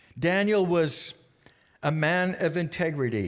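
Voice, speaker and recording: On a very clean recording with a silent background, a man speaks with a Canadian accent. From British Columbia, Canada. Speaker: guest speaker at youth group. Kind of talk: sermon. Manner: halting, many filler words.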